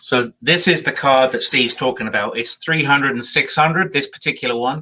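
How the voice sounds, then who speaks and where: A man's fairly high, bright, sharp voice at a fairly quick pace with ordinary pitch variation. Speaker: woodturner, co-host. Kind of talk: casual chat.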